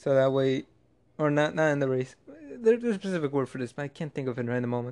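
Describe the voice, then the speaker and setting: This man talks at a very fast pace. His pitch sits fairly high. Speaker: podcast host. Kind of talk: casual solo monologue. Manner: monotone; halting, many restarts.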